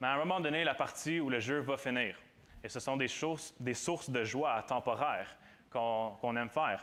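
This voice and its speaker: With audible room echo, the voice moves at a moderate pace, with very even loudness and ordinary pitch variation. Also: man, medium pitch for a man. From Quebec, Granby area. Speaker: student preacher. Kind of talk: sermon. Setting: church with audience. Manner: halting, many repetitions.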